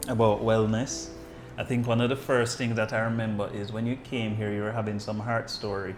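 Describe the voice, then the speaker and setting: Over music in the background and with audible room echo, a man of medium pitch speaks at a fairly quick pace in a monotone, flat intonation. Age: 40s. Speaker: doctor. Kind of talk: podcast interview.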